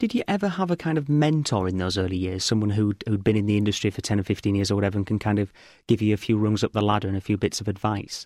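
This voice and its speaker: A man with a fairly low pitch talks very fast with hardly any pauses and ordinary pitch variation. The recording is very clean, dry and close, with no echo and a silent background. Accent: English. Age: 30s. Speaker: podcast host. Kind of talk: interview.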